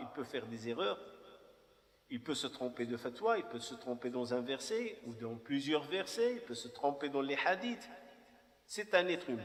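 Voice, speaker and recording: A man speaks at a fairly slow pace and a fairly high pitch, with very wide pitch swings. Long, frequent pauses break up his speech amid noticeable background noise. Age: 50s. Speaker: imam. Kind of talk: personal testimony talk. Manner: halting.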